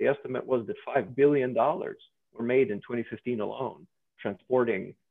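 Against a quiet background with a dry sound and no echo, a man talks at a moderate pace. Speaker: guest. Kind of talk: lecture. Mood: earnest, lightly self-deprecating. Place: home room. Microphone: video call.

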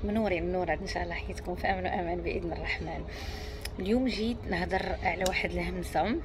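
Someone with a Moroccan accent speaks at a fairly quick pace over noticeable background noise. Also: woman. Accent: Moroccan Darija. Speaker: self-help coach. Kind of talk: self-development talk to camera. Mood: calm, reflective. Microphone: earbuds.

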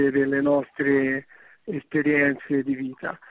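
A fairly high-pitched man speaks at a very slow pace in a Tuscan accent. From Tuscany, Livorno. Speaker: radio caller. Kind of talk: call-in comment. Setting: phone call.

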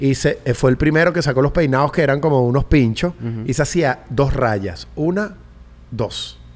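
Speaking with a Venezuelan accent, a man uses a fairly high pitch, ordinary pitch variation and a moderate pace. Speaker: podcast host. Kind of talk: casual chat. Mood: relaxed, joking. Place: studio. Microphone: studio mic.

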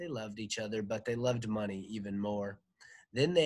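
Against a quiet background, an unforced reading voice keeps fairly even intonation.

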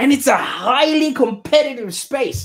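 The man's pitch is extremely high, and his intonation is lively. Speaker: digital marketing agency founder. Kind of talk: live-streamed business talk. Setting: live stream video, in Australia. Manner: casual, many filler words. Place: office. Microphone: studio mic.

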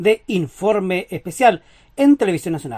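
A woman is speaking. Her tone is dark and mellow. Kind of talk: TV news narration.

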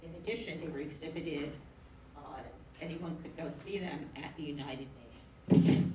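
Fairly even intonation in an American accent at a moderate pace, with noticeable background noise. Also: woman, very deep, low pitch for a woman. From New York. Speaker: moderator and professor. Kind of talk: panel discussion. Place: hall. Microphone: podium.

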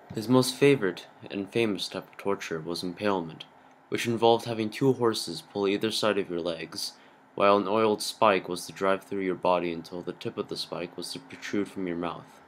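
A man with an unremarkable speaking voice talks at a fairly quick pace and fairly low pitch. His pitch varies ordinarily while his loudness swings widely. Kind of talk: movie trailer narration.

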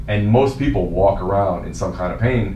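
A man in a New Jersey accent, fairly low in pitch, with lively intonation at a moderate pace, amid audible room echo and light background noise. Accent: New Jersey American English. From New Jersey, US. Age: 40s. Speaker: fitness coach. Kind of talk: casual interview. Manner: casual, laughs often. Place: meeting room.

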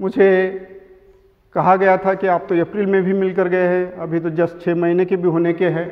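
A man with a high pitch talks at a moderate pace in a monotone, flat intonation against a quiet background. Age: 70s. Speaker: Buddhist order member. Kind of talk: memorial tribute talk. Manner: halting. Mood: reverent, reminiscing. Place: hall. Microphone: handheld.

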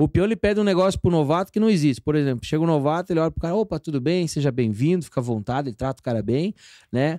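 A very fast man with a fairly high pitch, a dark, mellow tone and lively intonation, in a dry sound with no echo against a quiet background. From Paraná, Brazil (Almirante Tamandaré, Curitiba area); Paraná, Brazil. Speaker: stand-up comedian; guest comedian. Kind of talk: casual chat. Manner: animated. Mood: jovial, laughing storytelling. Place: studio. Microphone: studio mic.

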